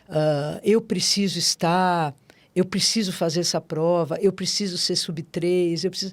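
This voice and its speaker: At a fairly slow pace, a woman with an unremarkable speaking voice talks fairly low in pitch with fairly even intonation, on a very clean recording with a silent background. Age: 60s. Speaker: amateur marathon runner. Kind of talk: interview conversation. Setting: studio.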